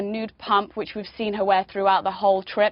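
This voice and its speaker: Speaking with a British accent, a woman is heard. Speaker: fashion editor. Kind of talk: TV interview. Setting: remote link from New York.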